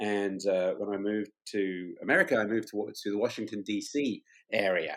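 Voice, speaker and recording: A man with a British accent, fairly low in pitch, at a moderate pace and with fairly even intonation. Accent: British accent often mistaken for Australian. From Scotland. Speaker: cheesemonger and shop owner, former radio producer. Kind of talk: podcast interview. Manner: hesitant, many fillers and repetitions.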